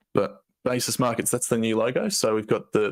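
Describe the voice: A man puts on a croaky character voice. His pitch sits in the medium range.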